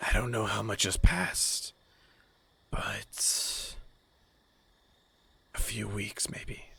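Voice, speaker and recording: In a put-on character voice, the speaker whispers raspily at a very slow pace, with long, frequent pauses. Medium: actual play. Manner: terse, fragmented.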